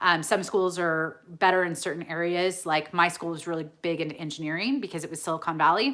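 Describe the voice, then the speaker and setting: A woman with a Californian accent speaks at a fairly quick pace, her tone bright and sharp. There are hardly any pauses, and the recording is very clean with a silent background. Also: fairly low pitch for a woman, ordinary pitch variation. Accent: General American, Californian. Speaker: reseller YouTuber. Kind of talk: live Q&A stream. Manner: casual, chatty.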